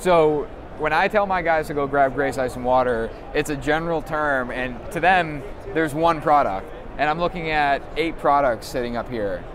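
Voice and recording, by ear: Moderate pace and few pauses, ordinary pitch variation, clear background noise. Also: man, fairly high pitch for a man.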